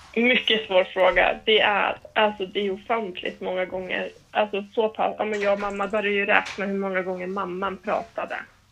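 Monotone, flat intonation at a moderate pace with hardly any pauses, over music in the background. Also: woman, medium pitch for a woman. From northern Sweden, Härnösand. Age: 20s. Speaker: preschool teacher. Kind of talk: casual chat.

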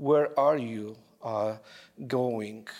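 Here a man speaks at medium pitch with a non-native accent and ordinary pitch variation. The recording is very clean, with a silent background. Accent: foreign. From abroad, another country. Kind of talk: homily. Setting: church. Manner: halting.

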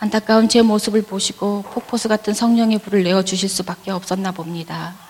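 Monotone, flat intonation from a woman at a medium pitch and moderate pace, with noticeable background noise. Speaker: church member giving testimony. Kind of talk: testimony. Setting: church. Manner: read from prepared text.

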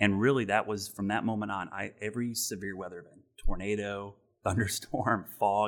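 On a very clean recording with a silent background, a man with an American accent speaks at a moderate pace in a fairly low, monotone, flat voice. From Ohio, US Midwest. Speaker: TV meteorologist. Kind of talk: interview. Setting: studio.

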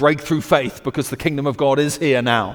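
A man's fairly high, energetic voice with a British accent, at a fairly quick pace. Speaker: preacher. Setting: church service. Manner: energetic, exhortational preaching.

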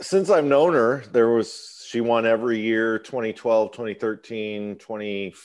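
Over a quiet background, a man with a normal speaking voice and an American accent speaks at a fairly low pitch and a moderate pace. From US Midwest. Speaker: musician. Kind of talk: casual chat.

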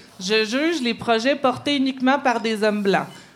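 Lively intonation at a moderate pace over noticeable background noise. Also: woman. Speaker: columnist. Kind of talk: live podcast chat; read-aloud editorial.

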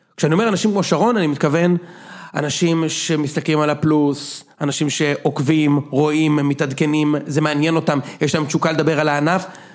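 This man has a plain, everyday voice. His pitch sits fairly high. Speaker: podcast host. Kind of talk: casual chat.

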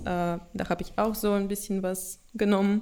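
A woman with a Russian accent speaks at a moderate pace and medium pitch. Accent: noticeable Russian accent in German. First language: Russian (speaking German). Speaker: product owner at an IT consultancy. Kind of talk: casual interview. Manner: halting, with fillers.

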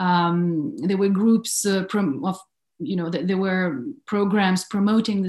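This woman has an unremarkable speaking voice, medium in pitch, and she speaks at a fairly slow pace. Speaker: research fellow. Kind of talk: academic discussion. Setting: video call.

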